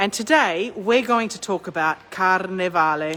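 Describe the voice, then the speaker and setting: A woman with an Australian accent, moderate pace and lively intonation. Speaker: tour guide. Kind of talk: live-stream walking tour. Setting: outdoors on a city street. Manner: chatty, greets viewers mid-sentence.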